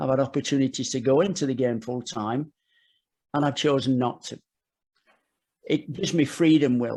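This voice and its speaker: A man's medium-pitched voice with an English accent and dark, mellow tone, moderate pace, ordinary pitch variation and long, frequent pauses, on a very clean recording with a silent background. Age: 60s. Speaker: football coach. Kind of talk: podcast interview. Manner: halting, with frequent repetitions.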